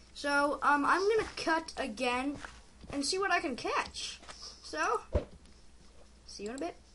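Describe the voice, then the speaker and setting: Raising and projecting her high voice, a woman speaks at a fairly slow pace with lively intonation and long, frequent pauses. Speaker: gaming youtuber. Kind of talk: gameplay commentary. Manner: animated.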